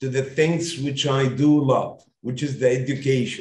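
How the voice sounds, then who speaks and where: Intonation holds fairly even. There is a somewhat breathy quality to the voice. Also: man. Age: 50s. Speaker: education consultancy founder. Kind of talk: interview. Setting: video call.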